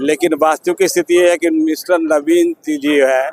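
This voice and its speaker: Fairly high-pitched male speech with ordinary pitch variation and a dry, close sound with no echo. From Bihar, Patna (Mithapur). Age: 60s. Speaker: milk shop owner. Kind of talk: street interview.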